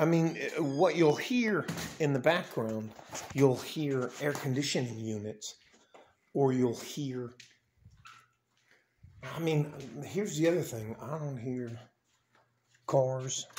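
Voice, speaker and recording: Over light background noise, a man speaks at a very slow pace with long, frequent pauses and ordinary pitch variation. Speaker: vlogger. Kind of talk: casual vlog chat. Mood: playful, joking. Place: street. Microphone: phone near.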